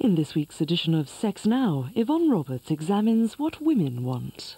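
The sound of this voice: With a slightly husky edge, a man speaks in a high yet dark, mellow voice. He keeps a moderate pace while his pitch swings widely.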